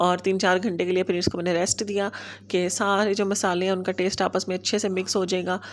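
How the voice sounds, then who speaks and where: A woman speaks at a medium pitch and a moderate pace. Her intonation is monotone and flat, and her loudness stays very even. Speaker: home vlogger. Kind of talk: vlog narration. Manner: casual.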